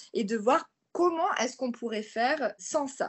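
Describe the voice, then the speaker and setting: A woman speaks with a high-pitched voice. Her intonation is lively. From southern France (near Marseille). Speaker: author and environmental activist. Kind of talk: interview.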